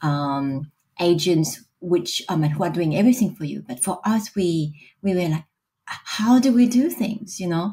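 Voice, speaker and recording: Somewhat breathy and dark, mellow in tone, a woman's voice unfolds at a fairly slow pace. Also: fairly low pitch for a woman, lively intonation. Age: 50s. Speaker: business executive and mother. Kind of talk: podcast interview. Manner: hesitant, many fillers.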